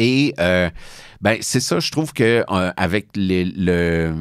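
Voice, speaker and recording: A man with ordinary pitch variation, in a very clean recording with a silent background. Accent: Quebec. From Quebec, Boucherville (Montreal south shore). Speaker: film critic. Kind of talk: interview. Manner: hesitant, many fillers.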